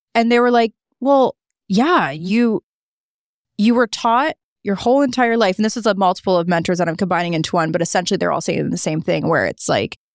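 A woman with a Canadian accent talks in an unremarkable speaking voice at a medium pitch with ordinary pitch variation. The sound is dry and close with no echo. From Niagara Falls, Ontario, Canada. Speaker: content creator and media personality. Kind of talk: casual interview chat.

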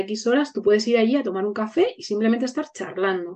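A woman speaks at a fairly quick pace with ordinary pitch variation. Hers is an unremarkable speaking voice. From Spain, Burgos. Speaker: educator. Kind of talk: casual chat.

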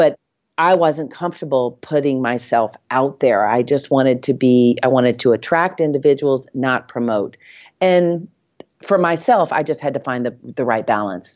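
A woman with a Southern US accent, very deep and low in pitch, at a moderate pace with ordinary pitch variation. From Nashville, Tennessee. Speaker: real estate agent. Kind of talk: casual interview.

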